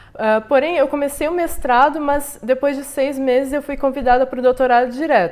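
A woman speaks at a fairly quick pace. Her high voice keeps fairly even intonation. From southern Brazil (Rio Grande, Rio Grande do Sul). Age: young. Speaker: chemical engineering researcher; interviewee. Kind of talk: interview; interview answer. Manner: halting, frequent repetitions. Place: home room.

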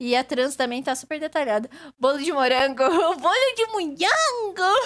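A woman's animated voice with lively intonation at a moderate pace, in a very clean recording with a silent background. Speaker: VTuber streamer and digital artist. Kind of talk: casual live stream chat. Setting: live stream.

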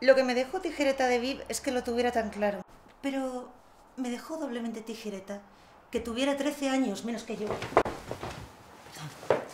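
There is noticeable background noise. A woman speaks in a high voice. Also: ordinary pitch variation, moderate pace. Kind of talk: casual confessional monologue. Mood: wry, exasperated humor. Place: home room. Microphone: camera far.

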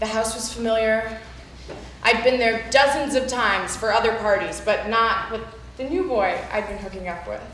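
The speech moves at a moderate pace with ordinary pitch variation. Audible room echo and light background noise surround it. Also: woman. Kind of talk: spoken word monologue performance. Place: hall.

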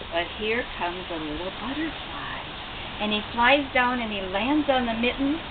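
At a moderate pace, the speech has lively intonation over clear background noise. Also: woman, fairly high pitch for a woman.

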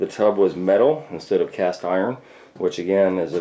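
A man's dark, mellow voice at a fairly quick pace. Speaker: tile contractor. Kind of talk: tutorial. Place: bathroom. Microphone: phone near.

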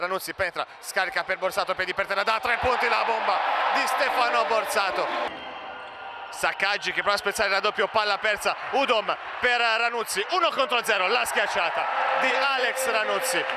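Noticeable background noise surrounds a man whose high-pitched, animated voice keeps a very even loudness. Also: ordinary pitch variation, moderate pace. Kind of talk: live basketball commentary. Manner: animated, builds excitement on dunks and threes.

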